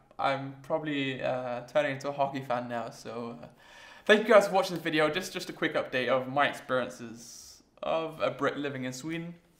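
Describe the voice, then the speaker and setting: A fairly quick man with an English accent and ordinary pitch variation. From England. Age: 20s. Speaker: vlogger. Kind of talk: casual vlog monologue. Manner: hesitant, many fillers. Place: home room.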